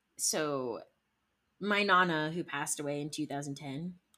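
A woman with a very deep, low pitch keeps a moderate pace, her pitch varying in an ordinary way. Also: very clean recording, silent background. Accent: Midwestern US. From Ohio, Cleveland area. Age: 20s. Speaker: music industry entrepreneur. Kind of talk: casual interview. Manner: animated.

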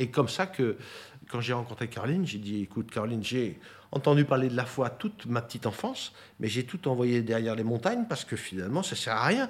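Speaking at a very fast pace, a man shows ordinary pitch variation. The recording is very clean with a silent background. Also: medium pitch for a man. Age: 60s. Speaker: property development executive. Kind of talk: interview testimony.

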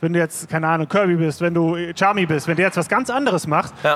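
A man rattles along at a very fast pace, his pitch high, with ordinary pitch variation. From Bonn, Germany. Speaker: DJ and music producer. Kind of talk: live panel discussion. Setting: stage with audience. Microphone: poor recording quality.

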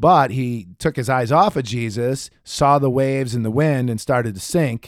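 An animated man at medium pitch, moving at a moderate pace with ordinary pitch variation. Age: 40s. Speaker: motivational podcast host. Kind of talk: motivational talk.

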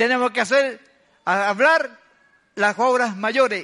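Bright and sharp in tone, a man's raised, projected voice carries. He speaks at a fairly slow pace. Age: 80s+. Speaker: guest preacher. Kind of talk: sermon. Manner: animated.

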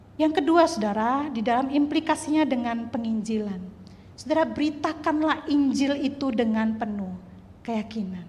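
Against noticeable background noise and audible room echo, a woman with a high pitch speaks at a moderate pace with lively intonation. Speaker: preacher. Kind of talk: sermon. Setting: church. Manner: loud.

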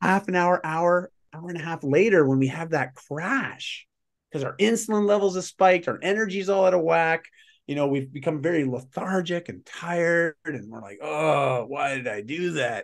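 In a Canadian accent, a man with a high pitch speaks at a moderate pace with lively intonation over a quiet background. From Canada. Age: 40s. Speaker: lifestyle mentor and performance coach. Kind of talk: casual interview.

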